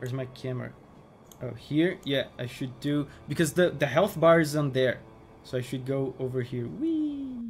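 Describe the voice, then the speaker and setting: Light background noise accompanies a man talking at a fairly slow pace. His pitch is fairly high. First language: not English. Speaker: gaming streamer. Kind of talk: live gameplay stream commentary. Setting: live stream. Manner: animated. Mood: playful, joking.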